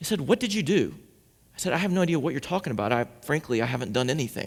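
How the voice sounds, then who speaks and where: The speech comes at a very fast pace. Its pitch swings very widely. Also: man, fairly high pitch for a man. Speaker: pastor giving a sermon. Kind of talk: sermon to a congregation. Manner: conversational, storytelling, humorous.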